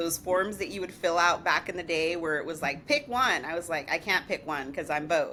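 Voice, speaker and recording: Her voice fairly low yet bright and sharp in tone, a woman speaks with an American accent. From New York, the Bronx. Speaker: digital branding entrepreneur. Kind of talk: podcast interview.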